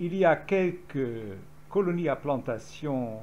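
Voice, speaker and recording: A man speaks in a Dutch accent at a fairly high pitch. Room echo is audible. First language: Dutch (speaking French). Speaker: historian. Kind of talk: lecture. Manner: halting.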